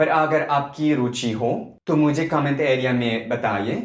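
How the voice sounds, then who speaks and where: A man's fairly high voice, very slow, with audible room echo. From Italy. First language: Italian (speaking Portuguese). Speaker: polyglot YouTuber. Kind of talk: scripted multilingual vlog.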